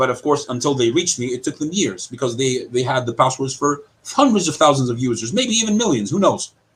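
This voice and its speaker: A man's somewhat breathy, medium-pitched voice in an American accent, very fast, with lively intonation and hardly any pauses. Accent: British accent, switches to American. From Cyprus. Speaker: online commentator. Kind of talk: interview.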